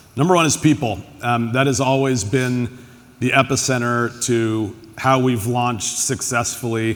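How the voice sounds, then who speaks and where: Using a normal speaking voice with an American accent, a man talks at a moderate pace and medium pitch with fairly even intonation. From United States. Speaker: tech executive, panelist. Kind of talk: panel discussion.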